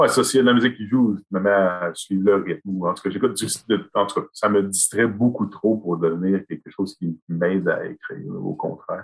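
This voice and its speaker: A man's fairly low voice at a moderate pace, with ordinary pitch variation, a dry, close sound with no echo, and music in the background. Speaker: author and high school French teacher. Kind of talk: interview.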